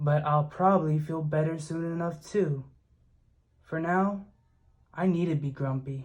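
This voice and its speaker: A put-on character voice at a middle pitch comes with long, frequent pauses on a very clean recording with a silent background. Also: moderate pace. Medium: read story. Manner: sulky, defensive.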